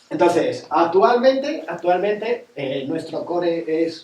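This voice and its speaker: A man's high-pitched voice with lively intonation. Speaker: nautical youtuber. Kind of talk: casual talk to audience. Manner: fast.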